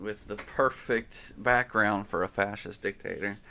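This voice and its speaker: A man's fairly low, mumbling voice with a bright, sharp tone, fairly even intonation, and a fairly slow pace. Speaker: political commentator. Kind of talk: casual monologue. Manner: halting, many fillers. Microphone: new mic.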